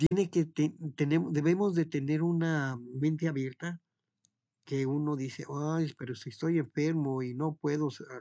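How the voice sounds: With a dark, mellow tone and fairly high pitch, a man speaks at a fairly slow pace with fairly even intonation.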